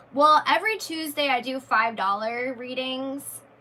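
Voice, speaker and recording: Over noticeable background noise, a woman's high-pitched voice comes through raised and projected. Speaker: YouTuber and tarot reader. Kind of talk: live stream chat with viewers. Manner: casual, with self-corrections and repeats.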